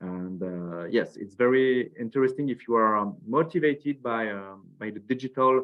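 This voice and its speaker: A man with a French accent at a moderate pace. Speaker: school representative. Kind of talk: webinar presentation. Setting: online webinar. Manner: halting, many fillers and repetitions.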